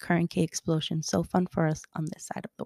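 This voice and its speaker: The voice has a dark, mellow tone and a monotone, flat intonation, moving at a fairly quick pace in a dry, close sound with no echo. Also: woman. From Colombia, raised in Miami. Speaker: podcast host. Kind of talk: podcast trailer, scripted intro.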